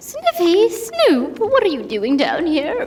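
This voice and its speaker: A woman does a squeaky, put-on character voice at an extremely high pitch. She goes at a fairly slow pace, with very wide pitch swings. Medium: audio drama. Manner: refers to herself in the third person.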